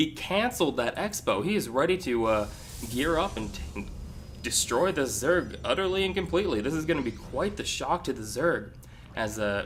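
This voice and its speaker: Vocal fry runs through a man's lively intonation as he talks at a fairly quick pace. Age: young. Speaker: video game commentator. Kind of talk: casual chat; live commentary. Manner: hesitant, many fillers.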